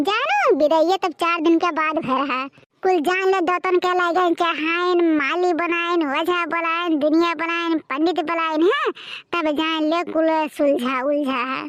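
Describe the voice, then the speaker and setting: A woman's cartoonish character voice at an extremely high pitch, moderate in pace, with fairly even intonation. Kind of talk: cartoon comedy. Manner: loud, rambling, boastful.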